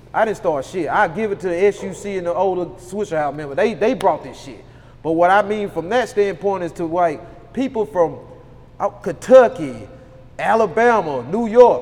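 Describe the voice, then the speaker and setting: A man's high voice at a moderate pace, with lively intonation, big swings in loudness and noticeable background noise. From Louisiana. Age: 30s. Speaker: rapper. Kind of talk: casual chat.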